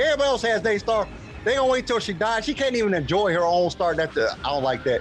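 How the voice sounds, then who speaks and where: Very fast, animated speech from a high-pitched man, with very wide pitch swings and very even loudness over music in the background. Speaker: podcast host. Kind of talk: casual chat.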